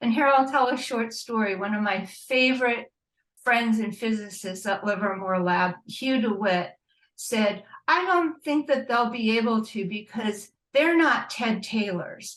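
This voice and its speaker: An ordinary speaking voice from a woman with fairly high pitch, ordinary pitch variation and a fairly slow pace. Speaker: panelist, nuclear weapons watchdog. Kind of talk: panel presentation. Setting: video call.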